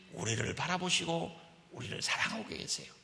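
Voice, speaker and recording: Audible room echo surrounds this man's voice. His pitch swings very widely. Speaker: pastor. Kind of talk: sermon. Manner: animated.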